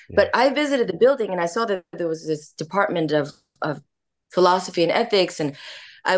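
A woman speaks in a fairly low pitch. The background is quiet. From Kyoto, Japan, raised in US. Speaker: company founder and former UN diplomat. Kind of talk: casual interview. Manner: enthusiastic, warm.

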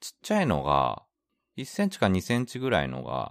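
Moderate pace on a very clean recording with a silent background and a dry, close sound with no echo. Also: man. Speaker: podcast co-host, expat worker in Hong Kong. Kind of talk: casual chat.

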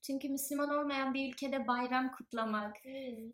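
A woman with a high voice speaks at a fairly slow pace with fairly even intonation. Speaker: podcast host. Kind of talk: interview. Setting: in person. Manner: formal.

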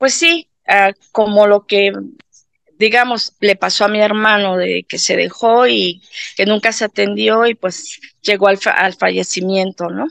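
At a fairly slow pace, a woman talks at a medium pitch with ordinary pitch variation, recorded dry and close with no echo. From Mexico City. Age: 50s. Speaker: patient. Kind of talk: testimony. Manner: halting, many fillers.

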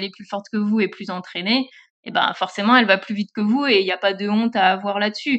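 This woman talks very fast with fairly even intonation. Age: 30s. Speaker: social media manager and cycling influencer. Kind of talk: interview.

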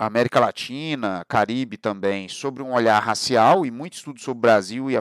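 At a fairly quick pace, a man with an ordinary speaking voice and a medium pitch talks with ordinary pitch variation. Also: dry, close sound with no echo. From Brazil, Barra Mansa / Volta Redonda area, Rio de Janeiro state. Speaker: podcast host and historian. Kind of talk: monologue, casual talk.

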